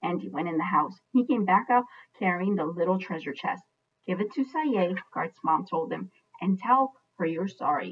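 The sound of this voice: Against a quiet background, the speaker uses an unforced reading voice with lively intonation.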